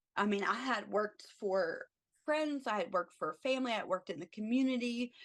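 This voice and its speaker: A plain, everyday voice from a woman with an American accent, fairly high in pitch, fairly quick, with lively intonation. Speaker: travel ICU nurse. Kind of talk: podcast interview answer.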